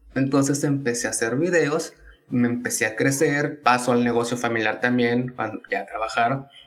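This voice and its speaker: A man's intonation stays fairly even as noticeable noise sounds behind him. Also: medium pitch for a man, moderate pace. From Tabasco, Mexico. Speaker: economics student and content creator. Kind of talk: casual interview.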